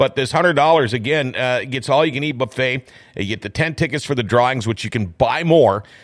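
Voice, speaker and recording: A man's medium-pitched voice, an ordinary speaking voice, with ordinary pitch variation and a fairly quick pace, on a very clean recording with a silent background. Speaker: radio host. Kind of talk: casual studio interview with ad reads. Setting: studio.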